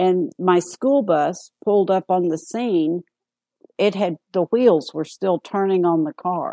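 At a very slow pace, a woman with a Southern US accent speaks in a dark, mellow tone at a medium pitch with ordinary pitch variation. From US South, Arkansas. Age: 60s. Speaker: AIDS caregiver and author. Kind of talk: interview.

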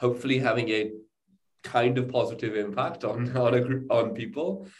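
Audible room echo surrounds a man speaking with a strong British accent at a moderate pace, medium in pitch and fairly even in intonation. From England. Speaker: startup co-founder. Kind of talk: interview.

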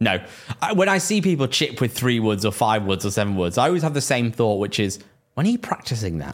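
A man with a Lancashire accent speaks at a very fast pace. His medium-pitched voice swings very widely in pitch. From northern England, Preston. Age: 20s. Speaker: golf podcast co-host. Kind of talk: casual chat.

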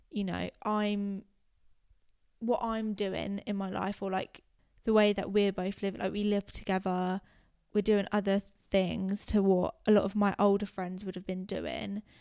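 On a very clean recording with a silent background, a woman with a British accent speaks at a medium pitch and a fairly slow pace, her tone dark and mellow and her intonation flat and monotone. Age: 20s. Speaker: podcast co-host. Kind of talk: casual chat.

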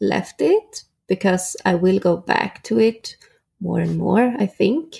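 With a Swedish accent, a woman speaks at a very slow pace. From Sweden, Norrköping. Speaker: photographer. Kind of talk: interview.

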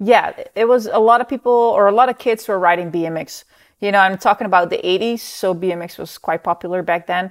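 A woman speaks at a very fast pace with a Dutch accent. Her pitch is medium, with ordinary variation. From Netherlands. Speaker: professional mountain bike racer. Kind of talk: interview.

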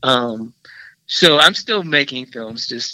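This bright, sharp voice with an American accent has lively intonation. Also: man. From US Midwest, Milwaukee, Wisconsin. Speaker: filmmaker and film professor. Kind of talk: interview.

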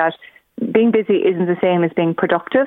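At a very fast pace, a woman with a Cork accent speaks at a medium pitch with ordinary pitch variation. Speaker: productivity coach. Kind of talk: radio interview. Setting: phone call.

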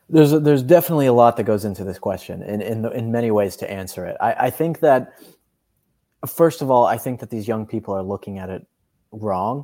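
A man with an American accent speaks at a fairly quick pace and medium pitch, in a dark, mellow tone with lively intonation. His loudness swings a lot, in a very clean recording with a silent background. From Colorado, US. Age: 20s. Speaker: editor and political commentator. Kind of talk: podcast interview.

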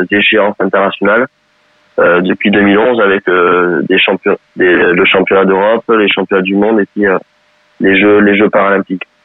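Here a man talks with a fairly low pitch. His intonation is monotone and flat. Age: 30s. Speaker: wheelchair rugby coach and sports educator. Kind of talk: interview. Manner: halting, many repeated words.

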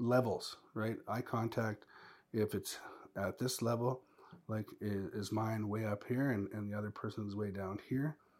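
In a very clean recording with a silent background, a man with a plain, everyday voice speaks at medium pitch and a fairly slow pace with fairly even intonation. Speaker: former teacher. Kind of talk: casual chat.

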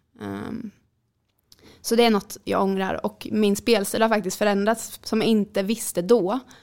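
At a moderate pace, a woman speaks in a normal speaking voice with fairly even intonation. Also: medium pitch for a woman. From Sweden, Jönköping. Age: 20s. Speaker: handball player. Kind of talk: interview.

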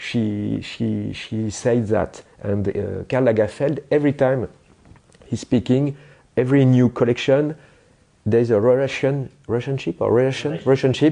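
Speaking with a French accent at a moderate pace, the voice shows ordinary pitch variation and long, frequent pauses. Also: man, medium pitch for a man. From France. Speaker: graphic designer. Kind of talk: interview. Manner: halting; animated.

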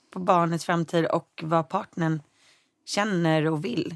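In a very clean recording with a silent background and a dry, close sound with no echo, a woman with a fairly low pitch talks at a moderate pace in a normal speaking voice with fairly even intonation. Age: 20s. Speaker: lifestyle blogger and editor. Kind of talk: casual interview chat.

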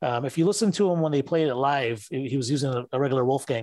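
A man with a fairly high pitch talks at a very fast pace in an American accent. The recording is dry and close, with no echo. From Detroit, US Midwest. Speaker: Van Halen fan. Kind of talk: casual chat. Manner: hesitant, stammering.

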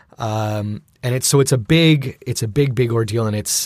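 A man with a medium pitch speaks at a moderate pace, sounding somewhat breathy. The recording is very clean, with a silent background. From Filipino heritage, grew up in Filipino culture. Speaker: theater performer. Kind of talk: casual chat. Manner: hesitant, many fillers.

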